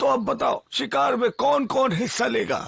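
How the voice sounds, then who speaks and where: In a put-on character voice, a man speaks at an extremely high pitch and a moderate pace. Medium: fan dub. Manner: formal, stern.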